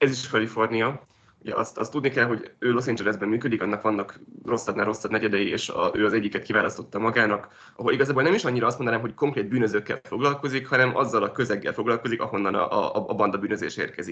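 A man talks at a very fast pace in a bright, sharp tone. His intonation stays fairly even. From Hungary. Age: 20s. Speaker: journalist. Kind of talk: interview. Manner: halting. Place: home room. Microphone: video call.

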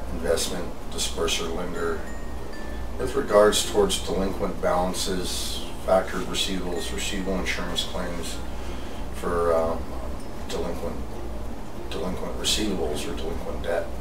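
Long, frequent pauses break up a man's moderately paced speech, with noticeable background noise behind it. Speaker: fraud investigator and investigations coordinator. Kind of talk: interview answer. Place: office.

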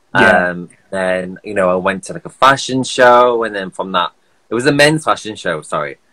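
A man with a British accent talks at a moderate pace in a bright, sharp tone, his fairly low voice carrying lively intonation and big swings in loudness. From United Kingdom. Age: 30s. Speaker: skincare influencer and podcaster; skincare influencer, podcaster. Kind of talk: casual interview. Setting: video call. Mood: relaxed, chatty. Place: home room. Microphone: phone near.

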